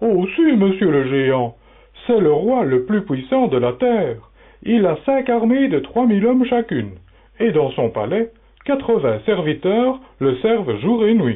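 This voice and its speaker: In a put-on character voice, the speaker moves at a fairly slow pace with very wide pitch swings. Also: man, high pitch for a man. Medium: audio drama.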